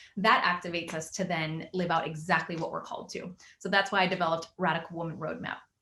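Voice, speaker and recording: A woman speaks over noticeable background noise. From Venezuela, later Miami. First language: Spanish. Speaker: magazine founder and life coach. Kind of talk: interview.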